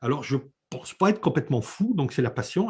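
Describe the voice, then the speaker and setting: This man's voice moves in very wide pitch swings. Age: 60s. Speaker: eco-building author and renovation expert. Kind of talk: interview. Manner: hesitant, with many fillers.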